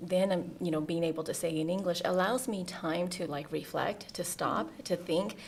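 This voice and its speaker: A woman with a Southeast Asian accent talks at a fairly slow pace in a fairly low pitch, her intonation fairly even, with audible echo in the room. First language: Hmong. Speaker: deputy school superintendent. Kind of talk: interview. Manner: halting, many fillers.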